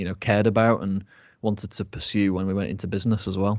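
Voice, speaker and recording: A man's fairly low voice with fairly even intonation, a plain, everyday voice. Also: quiet background. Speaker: food business co-founder. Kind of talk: casual chat.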